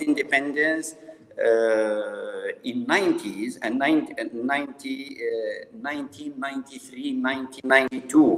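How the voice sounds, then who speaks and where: Noticeable background noise runs behind a man's fairly slow speech. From Kabylia, Algeria. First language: Kabyle (Tamazight). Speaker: panel guest on politics. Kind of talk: panel discussion. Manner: halting, many fillers.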